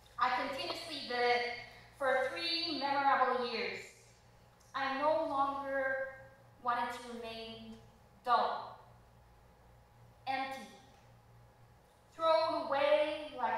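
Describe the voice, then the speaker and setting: Strong room echo surrounds a woman with a high pitch who speaks very slowly with fairly even intonation. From Belize. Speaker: spoken word performer. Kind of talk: spoken word poetry performance. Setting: theater stage. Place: stage.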